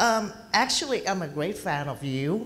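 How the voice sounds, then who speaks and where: A woman's very slow speech in a Thai accent, with audible room echo. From Thailand. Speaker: audience member. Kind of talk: audience question. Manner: halting.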